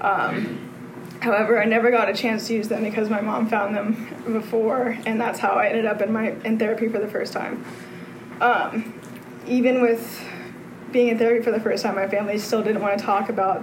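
The delivery is monotone and flat, with an American accent. Audible room echo and noticeable background noise surround the voice. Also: woman. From Texas. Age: 20s. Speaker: recovering alcoholic speaker. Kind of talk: testimony.

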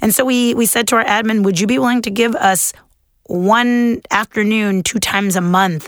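A normal speaking voice in an American accent, fairly quick, with ordinary pitch variation. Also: woman. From Los Angeles, California. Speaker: secondary school English teacher. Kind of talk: panel discussion.

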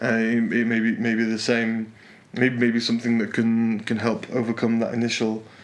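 With a Yorkshire accent, a man talks at a moderate pace and medium pitch, his intonation monotone and flat and his loudness very even. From northern England, Yorkshire. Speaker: podcast co-host, salsa teacher and programmer. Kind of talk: casual chat. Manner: halting, many repetitions and fillers.

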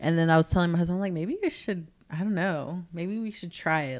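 A woman talks at a fairly quick pace in a normal speaking voice. Her pitch sits fairly low. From Southern California. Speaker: cosmetics entrepreneur. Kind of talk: casual interview. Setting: host's kitchen.

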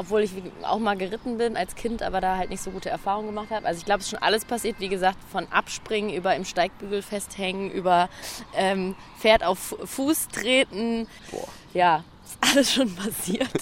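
Over noticeable background noise, a woman at a medium pitch speaks at a moderate pace, with ordinary pitch variation and big swings in loudness. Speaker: podcast host. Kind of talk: casual interview. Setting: outdoors.

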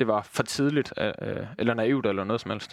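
Medium pitch from a man, with ordinary variation in pitch. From Southern Jutland, Denmark (Christiansfeld near Haderslev). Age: 20s. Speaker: football fan pundit, former youth player. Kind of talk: casual football discussion. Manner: hesitant, many fillers.

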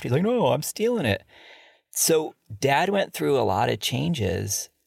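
A man talks at a moderate pace in a very clean recording with a silent background. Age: 40s. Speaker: podcast host. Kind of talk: casual chat.

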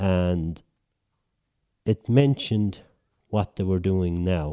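A man with an Irish accent and a very deep, low pitch speaks at a very slow pace in a dark, mellow tone with fairly even intonation, in a very clean recording with a silent background. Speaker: writer. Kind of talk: casual chat.

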